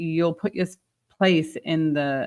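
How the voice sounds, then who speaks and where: Fairly low in pitch, a woman with a British accent speaks with fairly even intonation. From England. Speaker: retail leadership expert and author. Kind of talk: interview.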